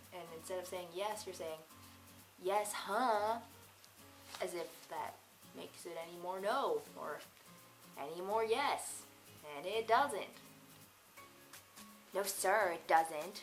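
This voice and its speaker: With an American accent, a woman speaks at a medium pitch with ordinary pitch variation and big swings in loudness. She leaves long, frequent pauses while music plays in the background. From Massachusetts, New England. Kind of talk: casual vlog talk to camera.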